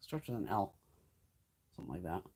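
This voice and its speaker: A woman with an American accent talks with vocal fry and very wide pitch swings. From Connecticut. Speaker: beauty YouTuber. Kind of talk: casual chat. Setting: live stream. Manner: fast.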